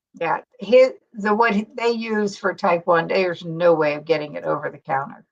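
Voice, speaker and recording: A woman's medium-pitched voice with lively intonation at a moderate pace, an ordinary speaking voice. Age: 60s. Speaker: keto YouTuber. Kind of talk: casual chat.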